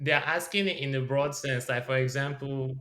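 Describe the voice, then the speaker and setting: A man's bright, sharp tone at a moderate pace. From Nigeria. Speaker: podcast co-host. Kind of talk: casual chat.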